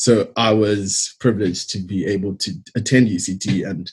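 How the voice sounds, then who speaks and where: In a South African accent, a man talks with ordinary pitch variation. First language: Xitsonga. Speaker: engineer. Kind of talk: presentation talk. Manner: hesitant with fillers.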